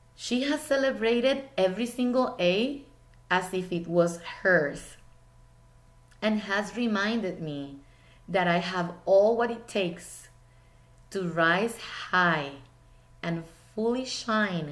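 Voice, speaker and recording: With a Spanish accent, a woman speaks at a very slow pace with lively intonation and long, frequent pauses, and audible room echo surrounds her. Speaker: teacher. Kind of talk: speech.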